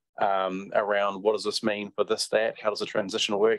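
Against a quiet background, a man with a New Zealand accent talks at a fairly quick pace in a fairly low pitch. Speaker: council staff manager. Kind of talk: report to a council committee. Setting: council meeting room. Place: meeting room. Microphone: podium.

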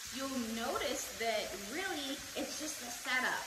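A woman is speaking amid loud background noise. Room echo is audible too. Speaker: home cook host. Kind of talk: cooking tutorial. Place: kitchen. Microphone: camera far.

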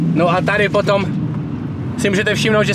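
A man's fairly quick speech comes through loud background noise, the sound dry with no echo. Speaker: vlogger. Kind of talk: casual vlog commentary. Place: car.

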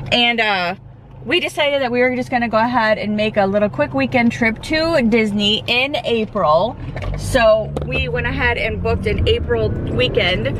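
A woman speaks at a moderate pace in a dry sound with no echo, with noticeable background noise behind her. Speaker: vlogger. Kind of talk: casual vlog chat. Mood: excited. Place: car. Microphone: phone near.

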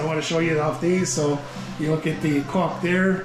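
Music plays in the background as a man speaks at a moderate pace with monotone, flat intonation. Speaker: travel vlogger. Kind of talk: casual vlog chat. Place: bar. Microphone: phone near.

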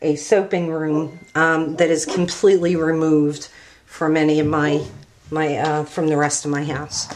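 Light background noise sits under a woman speaking at a fairly slow pace with a very deep, low pitch and monotone, flat intonation. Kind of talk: tutorial. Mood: relaxed, slightly apologetic. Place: home room.

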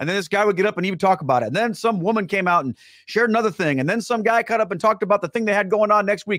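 Over a quiet background, a man speaks very fast at a high pitch with ordinary pitch variation, in a dry sound with no echo. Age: 40s. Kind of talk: live-streamed casual talk to viewers. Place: studio. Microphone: studio mic.

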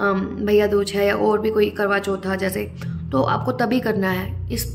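Vocal fry and little pitch movement over faint background noise. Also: woman.

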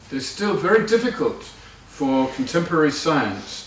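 A man talks at a fairly slow pace with lively intonation, audible room echo and light background noise. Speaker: Buddhist teacher. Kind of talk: lecture.

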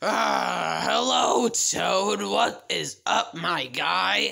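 In a put-on character voice, a man speaks raspy and very deep, with a very low pitch, at a very slow pace. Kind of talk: casual slang. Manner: strange put-on voice.

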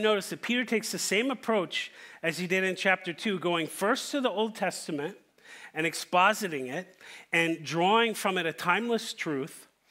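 Over a quiet background, a man talks at a moderate pace in a raised, projected voice with a bright, sharp tone and lively intonation. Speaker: preacher. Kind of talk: sermon. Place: church.

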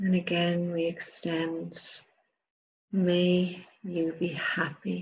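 A soft-spoken woman talks at a very slow pace in a gentle, calm tone. Light background noise can be heard. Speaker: meditation guide. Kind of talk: guided meditation. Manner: slow, soft, gentle, calm and soothing with long pauses. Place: home room.

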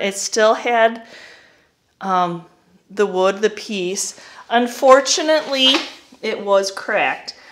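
Noticeable background noise runs beneath speech with lively intonation. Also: woman. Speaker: vintage reseller. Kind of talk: casual vlog chat. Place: garage. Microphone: phone near.

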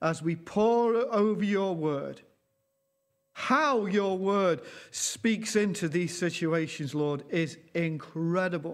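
A man speaks very slowly in a high voice with ordinary pitch variation. His loudness stays very even against a quiet background. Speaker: pastor. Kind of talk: sermon. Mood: earnest, slow, reverent. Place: church. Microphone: lapel.

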